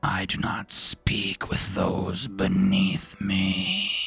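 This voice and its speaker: Using a put-on character voice, a man growls out raspy, guttural words at a fairly low pitch and a very slow pace. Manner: haughty, disdainful.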